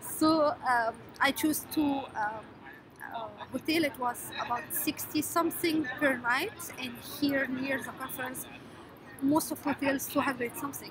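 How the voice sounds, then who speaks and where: Noticeable background noise sits behind a woman speaking at a fairly slow pace in a high voice with fairly even intonation. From Egypt. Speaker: scientist vlogger. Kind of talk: casual vlog tutorial. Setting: noisy public place. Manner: halting, many fillers. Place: hall. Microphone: phone near.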